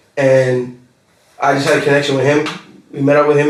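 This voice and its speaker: With audible room echo, a man speaks at a moderate pace and a fairly high pitch. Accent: Australian. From Australia, Newcastle NSW. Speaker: rapper. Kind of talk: casual interview chat. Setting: podcast recording. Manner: animated, many fillers. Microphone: poor audio quality.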